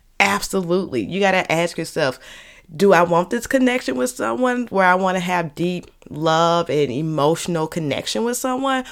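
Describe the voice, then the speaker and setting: Speaking at a moderate pace, a woman uses an animated tone with very wide pitch swings in a fairly low voice. The recording is very clean, with a silent background. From Saint Louis, US Midwest. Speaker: therapist and podcast host. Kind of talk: solo podcast monologue, casual educational talk. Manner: casual, animated, conversational.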